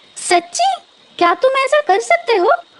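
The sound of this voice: A female-sounding cartoonish character voice squeaks along. The pitch is extremely high for a woman.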